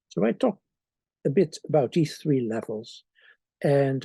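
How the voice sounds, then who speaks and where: Somewhat breathy and fairly high-pitched, a man's voice has a dark, mellow tone and ordinary pitch variation, in a very clean recording with a silent background and a dry, close sound with no echo. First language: Dutch. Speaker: theology professor. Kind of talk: author's introduction to an article.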